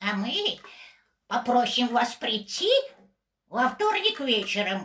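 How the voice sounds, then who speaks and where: A female-sounding voice in a put-on character voice, pitched high, delivers the lines at a fairly slow pace. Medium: stage play.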